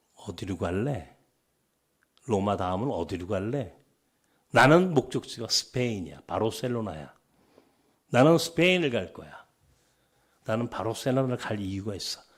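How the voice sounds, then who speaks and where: With a Chungcheong accent, a man at a medium pitch speaks at a moderate pace, his pitch swinging very widely, his loudness swinging greatly, with long, frequent pauses. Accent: Chungcheong dialect features. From Seoul, partly Chungcheong (Dangjin). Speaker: pastor. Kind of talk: sermon.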